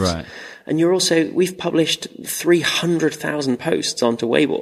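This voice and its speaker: Using an ordinary speaking voice, a man speaks at a fairly slow pace with ordinary pitch variation. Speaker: tech startup founder. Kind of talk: casual interview chat.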